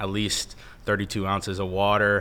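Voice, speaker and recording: A man speaks at a fairly quick pace in a fairly low pitch, his tone bright and sharp. Room echo is audible around him. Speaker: college football player. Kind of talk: casual interview.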